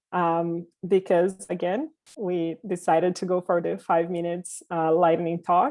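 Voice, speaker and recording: Speaking in a Portuguese accent, a woman talks at a fairly slow pace and a fairly low pitch with fairly even intonation. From Brazil. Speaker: diversity and inclusion consultant, company founder. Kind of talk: panel presentation. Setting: virtual panel.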